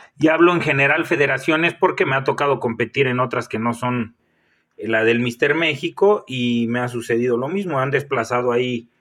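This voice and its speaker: A man speaks at a medium pitch and a moderate pace in an unremarkable speaking voice. His pitch varies in an ordinary way. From Mexico, Michoacán. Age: 30s. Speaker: fitness coach and bodybuilder. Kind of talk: solo podcast monologue.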